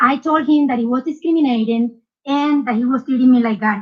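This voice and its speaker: Speaking at a fairly quick pace, a woman with a Spanish accent uses a high voice and ordinary pitch variation. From South America. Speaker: poll challenger. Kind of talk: testimony.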